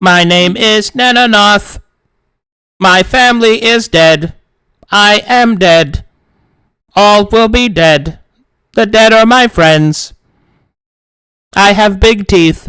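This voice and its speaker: The voice is a put-on character voice, raised and projected. It moves at a very slow pace, broken by long, frequent pauses. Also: man, high pitch for a man. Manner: grouchy, gloomy.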